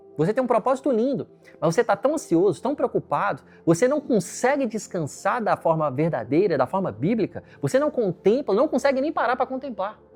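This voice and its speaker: The voice moves at a fairly quick pace with very wide pitch swings, recorded with a dry, close sound and no echo. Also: man, high pitch for a man. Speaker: pastor. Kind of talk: sermon.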